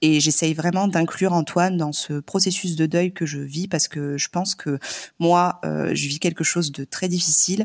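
A woman speaks at a moderate pace with a fairly low pitch and fairly even intonation. The sound is dry and close, with no echo. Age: 30s. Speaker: nurse and mother. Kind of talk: casual chat. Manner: hesitant, many fillers.

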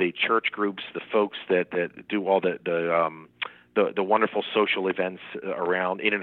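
A man with a New Jersey accent speaks at a moderate pace. His pitch is very deep and low, and his intonation is fairly even. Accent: New Jersey American. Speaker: Secret Service agent, former Marine. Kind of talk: interview. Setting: phone call.

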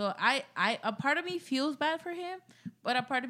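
This speaker has a Mexican accent. The pace is fairly quick. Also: woman. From Mexico. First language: Spanish. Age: 20s. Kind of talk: casual chat. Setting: studio.

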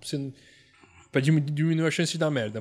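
On a very clean recording with a silent background, a man rattles along at a very fast pace. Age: 40s. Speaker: basketball podcast co-host. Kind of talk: casual chat.

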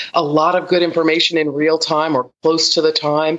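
A woman speaks in a plain, everyday voice. Her pitch is fairly low, and her pace is moderate. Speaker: investigative reporter. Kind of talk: news panel commentary.

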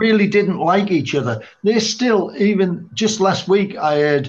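A man with an English accent speaks at a very slow pace, his intonation lively. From England. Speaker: music industry veteran, former road crew. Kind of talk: casual panel chat.

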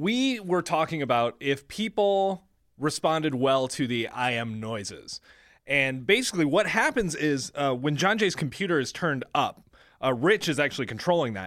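A man with an American accent and a fairly high pitch speaks at a moderate pace with very wide pitch swings on a very clean recording with a silent background. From US Midwest. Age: 20s. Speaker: radio show video producer. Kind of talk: casual chat.

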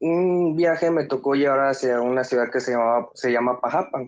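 In a normal speaking voice, a man talks at a fairly high pitch with ordinary pitch variation and very even loudness. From Mexico, Acayucan, Veracruz. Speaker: truck driver, caller. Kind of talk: telling a personal ghost story. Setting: phone call.

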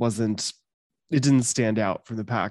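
It's an unremarkable speaking voice, a man's, at medium pitch with fairly even intonation. The sound is dry and close, with no echo. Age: 30s. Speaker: podcast co-host, first-time viewer. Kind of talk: casual chat.

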